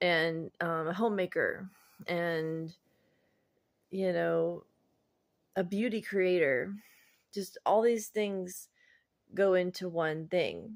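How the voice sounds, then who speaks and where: Speaking at medium pitch, a woman goes very slowly with fairly even intonation and long, frequent pauses. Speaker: vlogger. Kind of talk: personal vlog monologue. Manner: halting, pauses between words.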